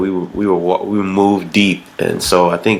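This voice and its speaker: A man with a very deep, low pitch talks in a relaxed tone at a moderate pace, his intonation monotone and flat, over noticeable background noise. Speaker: musician. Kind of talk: podcast interview. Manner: relaxed, casual.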